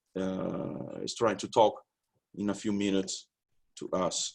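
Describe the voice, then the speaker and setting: A man speaks at a fairly slow pace in a Portuguese accent. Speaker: labour law researcher. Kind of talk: conference presentation. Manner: halting.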